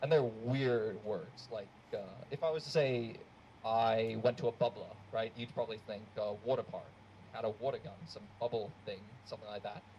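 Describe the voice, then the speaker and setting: Somewhat breathy and dark, mellow in tone, a man speaks at medium pitch and a moderate pace, with ordinary pitch variation and big swings in loudness. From Australia. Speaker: student stand-up comedian. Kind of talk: stand-up. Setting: stage with audience.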